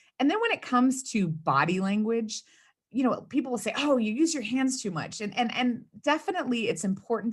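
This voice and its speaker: A woman with an American accent talks at a fairly quick pace, somewhat breathy, her pitch swinging very widely. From US South, South Texas (Rio Grande Valley). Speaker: communications consultant and speechwriter. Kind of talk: interview. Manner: fast.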